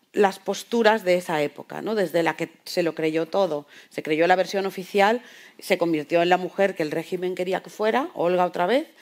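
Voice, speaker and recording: At a moderate pace, a woman with a plain, everyday voice speaks at a medium pitch with ordinary pitch variation. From Spain. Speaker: novelist. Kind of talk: panel discussion.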